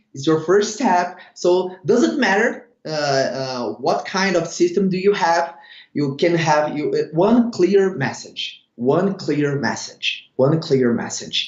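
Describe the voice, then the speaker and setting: Speaking very slowly, a man uses a high pitch and lively intonation. He has a Brazilian accent. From Brazil, Sao Paulo. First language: Portuguese. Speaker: network marketing leader. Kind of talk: interview. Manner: halting, many fillers.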